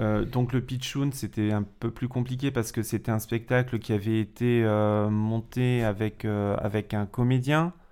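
The voice has a dark, mellow tone, very even loudness and fairly even intonation, moving at a fairly slow pace with hardly any pauses. The recording is very clean, with a silent background. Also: man, medium pitch for a man. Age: 40s. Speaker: school teacher, drama teacher. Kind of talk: casual chat.

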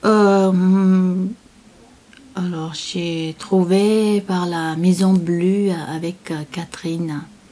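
A woman speaks at a very slow pace, leaving long, frequent pauses. Her medium-pitched voice stays monotone and flat. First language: not French (speaking French). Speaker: interviewee, working mother. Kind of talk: interview testimony. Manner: halting.

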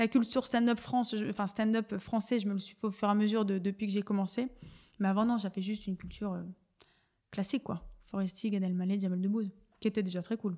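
The voice has a dark, mellow tone and fairly even intonation, moving at a fairly quick pace broken by long, frequent pauses. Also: woman, medium pitch for a woman. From northern France, Dunkirk. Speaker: beginner stand-up comedian. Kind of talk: casual interview chat.

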